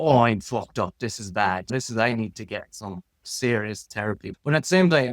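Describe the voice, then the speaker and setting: Speaking with an Irish accent at a moderate pace, a man with a medium-pitched voice uses lively intonation and big swings in loudness, hardly pausing, in a dry, close recording with no echo. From Ireland. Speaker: designer. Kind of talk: casual chat. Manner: animated.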